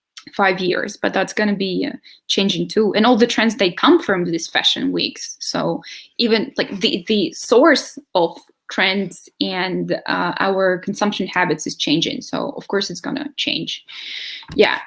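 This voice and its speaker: The voice moves at a fairly slow pace with lively intonation. Vocal fry runs through it. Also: woman, medium pitch for a woman. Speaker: sustainable living advocate. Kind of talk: video interview.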